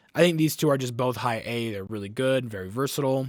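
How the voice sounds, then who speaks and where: On a very clean recording with a silent background, a man with a normal speaking voice and medium pitch talks with lively intonation. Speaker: gaming content creator. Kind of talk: casual gameplay commentary. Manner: filler-heavy, repeats words.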